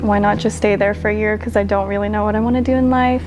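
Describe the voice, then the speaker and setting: A soft-spoken woman talks while music plays in the background. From Philippines. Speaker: singer-songwriter. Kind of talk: interview answer.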